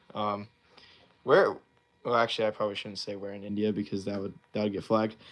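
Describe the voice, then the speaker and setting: With an American accent, a man speaks in an animated tone on a very clean recording with a silent background. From US East Coast. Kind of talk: live stream Q&A chat. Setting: live stream. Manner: casual, animated.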